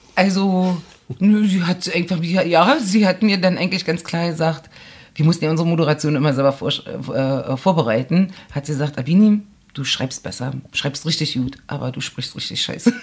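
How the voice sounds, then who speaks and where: A woman with a fairly low, somewhat breathy voice talks at a moderate speed, her pitch shifting in a normal way. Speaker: journalist and author. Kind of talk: casual interview chat.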